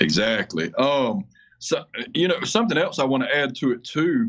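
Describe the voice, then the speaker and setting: Speaking at a moderate pace with an American accent, a man with a fairly high pitch and vocal fry swings his pitch very widely. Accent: sounds like a hillbilly. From Georgia, US South (Atlanta area). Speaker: window tinting shop owner. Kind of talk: podcast interview.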